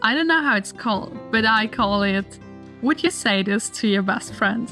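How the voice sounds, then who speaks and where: A woman speaks with a German accent. Music plays in the background. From Austria. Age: 20s. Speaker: lifestyle vlogger. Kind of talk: casual advice talk.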